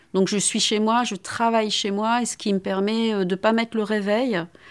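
The voice is an ordinary speaking voice with fairly even intonation. It moves at a moderate pace on a very clean recording with a silent background. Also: woman. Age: 50s. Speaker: philosophy professor. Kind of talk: testimony.

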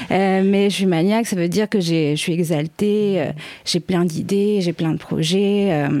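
A woman talks at a fairly slow pace in an ordinary speaking voice, medium in pitch with fairly even intonation. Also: very even loudness. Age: 20s. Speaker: guest with bipolar disorder. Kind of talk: casual chat.

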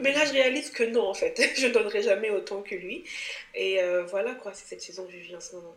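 With audible room echo and noticeable background noise, the speech moves at a fairly quick pace with big swings in loudness. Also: woman, fairly high pitch for a woman. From Cameroon. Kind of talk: casual interview.

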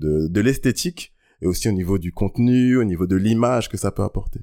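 A dark, mellow tone with ordinary pitch variation comes at a moderate pace in a very clean recording with a silent background. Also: man. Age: 30s. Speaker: slam poet. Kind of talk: slam performance; interview.

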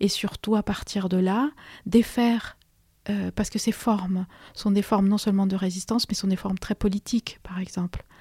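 In a Spanish accent, a woman speaks with monotone, flat intonation and a dark, mellow, somewhat breathy tone, the sound dry and close with no echo on a very clean recording with a silent background. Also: medium pitch for a woman, moderate pace. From Peru. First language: Spanish (speaking French). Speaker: history lecturer and author. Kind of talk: radio interview. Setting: radio studio. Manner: halting, many repetitions and hesitations.

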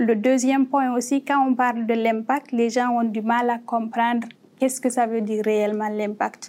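A woman's dark, mellow voice, flat and monotone in intonation, at a fairly slow pace with very even loudness. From Guinea. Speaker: startup cofounder. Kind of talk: panel discussion.

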